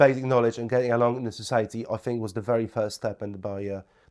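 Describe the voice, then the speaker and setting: A man's medium-pitched voice at a very fast pace with fairly even intonation, in a very clean recording with a silent background. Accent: Polish. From Poland. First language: Polish. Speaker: property investor. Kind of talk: podcast interview.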